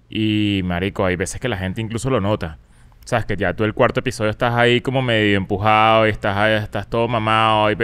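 A man talks at a very fast pace with a Venezuelan accent. His intonation stays fairly even. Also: fairly low pitch for a man. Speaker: comedian and podcaster; comedian, podcaster. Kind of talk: casual chat. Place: studio. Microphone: studio mic.

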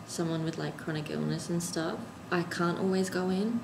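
With an Australian accent, a woman talks at a fairly low pitch with ordinary pitch variation over noticeable background noise. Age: 20s. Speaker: university student. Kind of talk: casual vlog talk to camera. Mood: tired, wry, a little stressed. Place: home room. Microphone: camera far.

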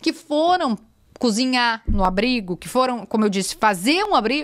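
A woman with a high voice talks at a moderate pace, her pitch swinging very widely against a quiet background. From Rio Grande do Sul, Brazil. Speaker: journalist. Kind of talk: casual podcast interview. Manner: animated. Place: studio. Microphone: studio mic.

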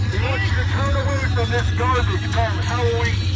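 A man talks at a fairly slow pace over loud music in the background. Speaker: street preacher. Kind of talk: open-air sermon. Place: street. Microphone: phone near.

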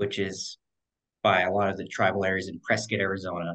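A man with a plain, everyday voice talks at a fairly quick pace in a fairly low pitch over a quiet background. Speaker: podcast guest. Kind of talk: interview answer. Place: home room. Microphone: video call.

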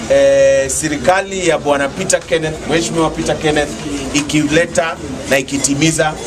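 A man speaks over noticeable background noise. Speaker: campaign politician. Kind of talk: campaign address to a crowd. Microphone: phone near.

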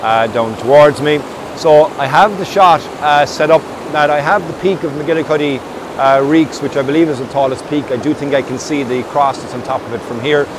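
Noticeable background noise sits behind a man speaking at a moderate pace in a dry sound with no echo. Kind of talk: casual vlog chat. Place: waterside.

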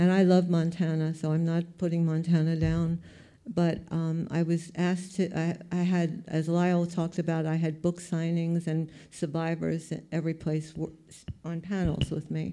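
A woman with a New York accent speaks at a moderate pace in a fairly low pitch, her dark, mellow tone held in a monotone, flat intonation over a quiet background. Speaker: photographer; panelist. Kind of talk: panel talk. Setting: stage with audience. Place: hall. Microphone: handheld.

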